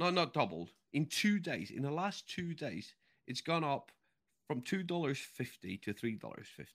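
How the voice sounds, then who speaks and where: In a very clean recording with a silent background, a man speaks with vocal fry and fairly high pitch. His intonation is lively and his pace moderate. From Norway. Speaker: podcast co-host. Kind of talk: casual chat.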